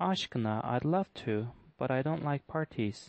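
The speaker is a man with an ordinary speaking voice. His pitch is medium, with ordinary pitch variation. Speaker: English teacher solving test questions. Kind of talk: tutorial.

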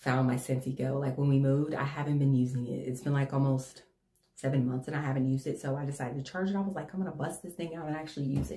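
A woman's very deep, low voice, dark and mellow in tone, somewhat breathy, with fairly even intonation, a very fast pace and audible room echo. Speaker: haul vlogger. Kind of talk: casual vlog chat. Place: home room.

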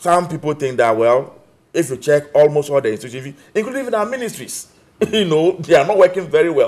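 A man with a Ghanaian accent, fairly high pitch, very wide pitch swings and a fairly quick pace. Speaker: political party official; guest. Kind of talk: political panel debate. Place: studio.

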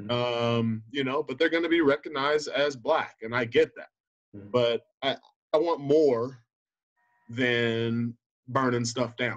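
With an American accent, a man at medium pitch talks at a moderate pace with fairly even intonation and long, frequent pauses against a quiet background. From Southern California (Inland Empire); Southern California. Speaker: high school football coach. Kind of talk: interview. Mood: earnest, reflective. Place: home room. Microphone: video call.

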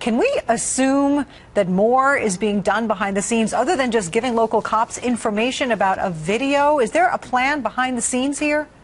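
A woman speaks at a moderate pace with a fairly high pitch, lively intonation and very even loudness. She takes hardly any pauses, over noticeable background noise. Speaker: TV news anchor. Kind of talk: TV news interview questions.

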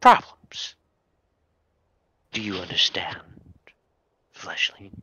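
A raspy, put-on character voice goes along at a fairly slow pace. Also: man. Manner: cold, menacing, formal.

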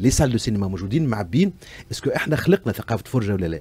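A somewhat breathy man with a Tunisian accent and lively intonation. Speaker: actor and screenwriter. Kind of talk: casual interview chat on radio. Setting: radio studio. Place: studio. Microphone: studio mic.

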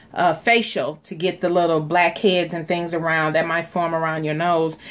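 A woman talks at a moderate pace in a monotone, flat intonation, her pitch fairly low, with noticeable background noise behind her. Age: 40s. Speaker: beauty vlogger and small business owner. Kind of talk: casual vlog tutorial.

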